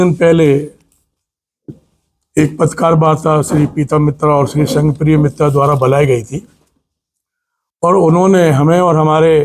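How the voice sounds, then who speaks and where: A man's voice, fairly high in pitch. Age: 60s. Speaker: politician. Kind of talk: press conference statement.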